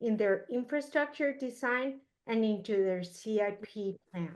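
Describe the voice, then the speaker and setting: A woman with a Spanish accent talks at a fairly slow pace, with ordinary pitch variation. The background is quiet. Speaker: moderator. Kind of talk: panel moderation. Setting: video call.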